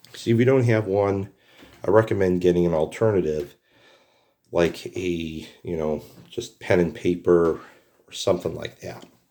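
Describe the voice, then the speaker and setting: Very deep, low male voice at a moderate pace, with long, frequent pauses and ordinary pitch variation. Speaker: retro game reviewer. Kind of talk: casual talk to camera.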